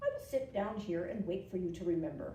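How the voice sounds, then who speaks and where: A put-on character voice, female-sounding and middle-pitched, at a fairly quick pace with slight echo. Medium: read story. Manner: good-natured, easygoing.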